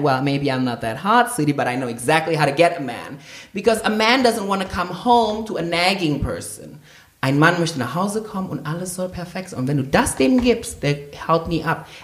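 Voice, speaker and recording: The speaker has an animated tone and a fairly quick pace. Noticeable background noise runs underneath. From Indonesia. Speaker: podcast co-host. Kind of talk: casual chat. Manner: loud.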